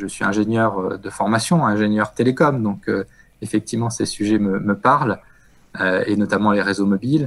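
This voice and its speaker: A man with a plain, everyday voice speaks at a medium pitch and moderate pace with ordinary pitch variation. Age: 40s. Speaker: telecom executive. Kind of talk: interview.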